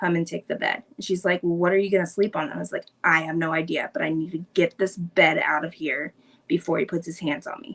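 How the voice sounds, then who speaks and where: In a normal speaking voice, a woman speaks at a fairly quick pace with a fairly low pitch and ordinary pitch variation. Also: dry, close sound with no echo. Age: 30s. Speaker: interview guest sharing mental health story. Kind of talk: personal storytelling interview. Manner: casual, filler-heavy.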